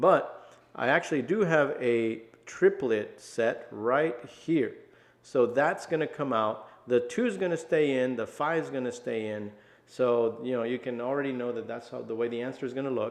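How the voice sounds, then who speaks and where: At a moderate speed and with ordinary pitch variation, a normal speaking voice carries on. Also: man, medium pitch for a man. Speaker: math teacher. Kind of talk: tutorial. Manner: casual.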